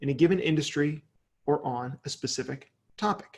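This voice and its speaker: A man's voice with ordinary pitch variation. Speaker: digital marketing speaker. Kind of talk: webinar presentation. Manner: fast.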